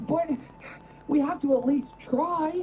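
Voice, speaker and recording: This high-pitched, put-on character voice comes with clear background noise. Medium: video game.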